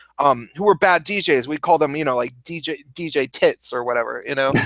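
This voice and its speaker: Recorded very cleanly against a silent background, with a dry, close sound and no echo, this voice speaks at a fairly quick pace in an American accent with ordinary pitch variation. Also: man. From US Pacific Northwest, Seattle. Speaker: YouTuber and former DJ. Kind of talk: casual chat.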